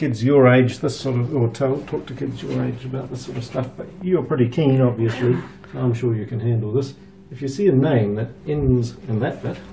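The speech moves at a moderate pace with fairly even intonation over light background noise. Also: man. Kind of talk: explaining to a child on a tour. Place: office. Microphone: camera far.

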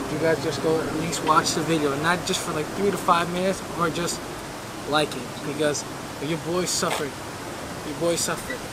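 Over noticeable background noise, a man speaks at a moderate pace in a dry sound with no echo. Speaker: fitness vlogger. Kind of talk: casual vlog chat. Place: garden.

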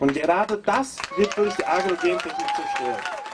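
Noticeable background noise sits behind a man's voice. He talks at a moderate pace with very wide pitch swings. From Brazil. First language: Portuguese (speaking German). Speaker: agroecology professor and activist. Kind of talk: protest speech.

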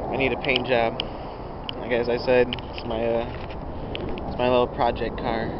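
Long, frequent pauses break up speech at a moderate pace, with a dry sound free of echo and loud background noise. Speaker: car enthusiast. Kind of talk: casual talk to camera. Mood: casual, self-deprecating. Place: street. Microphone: phone near.

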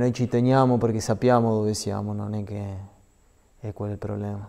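This is a man's voice. His pitch sits fairly low. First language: Spanish (speaking Italian). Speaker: professional footballer; guest. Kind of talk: TV sports interview; interview answer. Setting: TV studio. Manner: halting. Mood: calm, thoughtful. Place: studio. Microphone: lapel.

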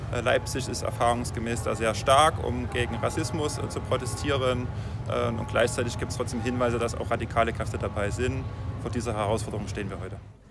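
A man's voice, dry with no echo, with music in the background. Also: fairly quick pace. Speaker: police spokesman. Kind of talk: interview answer. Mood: calm, official, measured. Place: street. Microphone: phone near.

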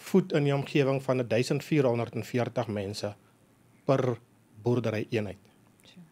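The man's voice is medium in pitch and has a dark, mellow tone with ordinary pitch variation. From South Africa, dairy farm. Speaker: agribusiness executive and sheep farmer; guest. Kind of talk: radio interview. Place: studio. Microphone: studio mic.

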